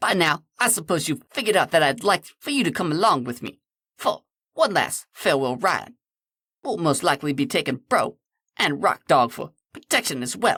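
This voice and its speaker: A man's put-on character voice, high-pitched, at a moderate pace. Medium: read story. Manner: playful, breezy.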